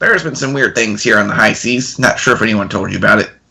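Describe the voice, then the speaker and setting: This put-on character voice sits at a low-to-middle pitch and moves at a very fast pace. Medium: actual play. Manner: gruff, rough sailor speech.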